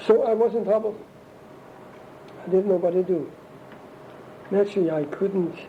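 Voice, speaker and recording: A man with a German accent and ordinary pitch variation, amid noticeable background noise. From Germany. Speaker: interviewee recounting life story. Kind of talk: oral history interview. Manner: halting.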